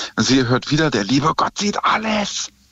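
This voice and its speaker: Noticeable background noise sits under the recording. A man talks over it with lively intonation. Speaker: taxi driver caller.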